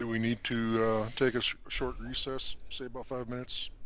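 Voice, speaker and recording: A man puts on a character voice at a medium pitch and a moderate pace. He is quiet, with clear background noise behind him. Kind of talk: mock courtroom speech. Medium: machinima. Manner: quiet, hesitant, formal.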